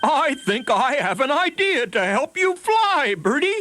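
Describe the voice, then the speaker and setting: A put-on character voice, high-pitched with very wide pitch swings, goes along at a fairly slow pace. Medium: read story.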